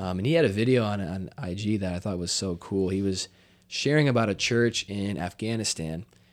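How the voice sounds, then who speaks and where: In a very clean recording with a silent background, a man has an ordinary speaking voice with a fairly low pitch. He speaks at a fairly quick pace with ordinary pitch variation. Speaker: podcast host. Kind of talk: casual conversation.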